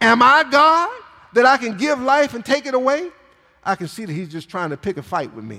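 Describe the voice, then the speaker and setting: A man speaks in a raised, projected voice at an extremely high pitch and a fairly quick pace. His pitch swings very widely and his loudness rises and falls in big swings. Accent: American. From Michigan, US. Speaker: pastor. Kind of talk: sermon. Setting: church. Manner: animated.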